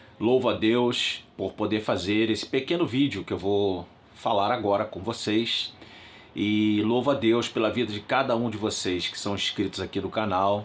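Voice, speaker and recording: A man talks at a moderate pace with a fairly low pitch and fairly even intonation. He has a normal speaking voice. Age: 60s. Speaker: pastor. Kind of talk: religious talk to channel viewers.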